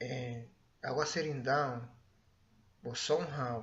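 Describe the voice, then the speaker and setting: With audible room echo, a man with a Spanish accent speaks somewhat breathily at a fairly slow pace, his medium pitch showing ordinary variation. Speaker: vlogger. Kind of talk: personal storytelling. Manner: halting.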